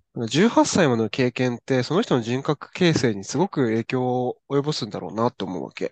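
A man with a plain, everyday voice speaks at a moderate pace and a medium pitch, with lively intonation. He leaves hardly any pauses, and the sound is dry and close with no echo. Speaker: podcast co-host. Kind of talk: casual chat.

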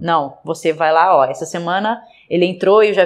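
This woman has an ordinary speaking voice, fairly low in pitch, with fairly even intonation. She speaks at a moderate pace. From Brazil, interior. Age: 30s. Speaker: basketball coach and athlete. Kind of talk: interview.

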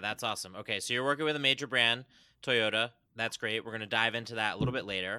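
Speaking at a very fast pace, a man uses a medium-pitched voice with a bright, sharp tone. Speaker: podcast host. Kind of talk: interview. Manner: enthusiastic.

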